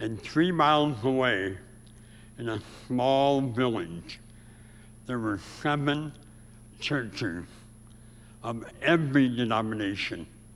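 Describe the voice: A man with an American accent speaks slowly in a nasal, medium-pitched voice with lively intonation. Long, frequent pauses break up his speech, and the room echo is audible.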